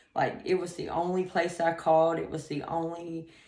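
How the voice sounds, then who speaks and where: A woman with a fairly low voice speaks at a moderate pace in a monotone, flat way, with audible room echo around her. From US South, Atlanta. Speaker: rehab client. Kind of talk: testimony. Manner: halting, many fillers.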